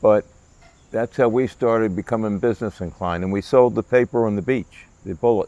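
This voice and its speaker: A man with an American accent, a dark, mellow tone, medium pitch, ordinary pitch variation and a fairly quick pace. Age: 70s. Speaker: business founder. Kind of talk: interview, storytelling. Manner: halting.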